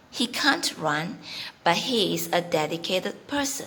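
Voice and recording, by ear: Big pitch swings mark this bright, sharp voice at a slow pace. Audible room echo surrounds it. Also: woman.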